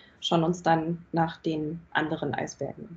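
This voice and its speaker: This is a woman's voice. It sounds somewhat breathy. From Germany, Munich. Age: 20s. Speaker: product owner. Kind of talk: podcast interview. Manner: hesitant, many fillers.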